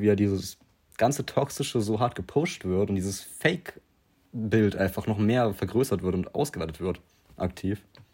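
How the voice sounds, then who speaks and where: A man speaks at a moderate pace with fairly low pitch and ordinary pitch variation. His tone is dark and mellow. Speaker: podcast co-host. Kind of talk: casual chat.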